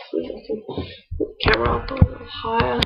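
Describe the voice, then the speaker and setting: A woman's voice with music in the background. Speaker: vlogger, new mother. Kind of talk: casual vlog.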